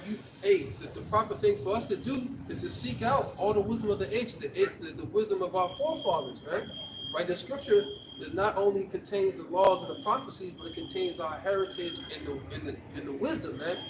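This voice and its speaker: A man talks at a fairly quick pace in a high voice. His pitch swings very widely, and there is noticeable background noise. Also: big swings in loudness. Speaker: street preacher. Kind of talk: street preaching. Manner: stuttering.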